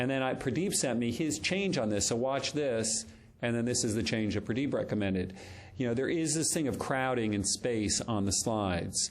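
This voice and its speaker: Audible room echo around a man at medium pitch, his pitch varying in an ordinary way. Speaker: doctor and lecturer on presentations. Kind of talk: lecture. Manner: fast.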